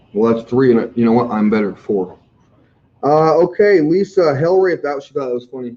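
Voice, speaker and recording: This man's loud voice has a medium pitch, a dark, mellow tone, lively intonation and a fairly quick pace. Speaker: healthcare staffing recruiter. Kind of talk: live Q&A stream. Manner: animated.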